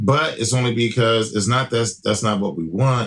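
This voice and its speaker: Vocal fry runs through this man's fairly low voice. He talks at a moderate pace. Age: 40s. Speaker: podcast guest discussing dating. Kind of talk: casual chat.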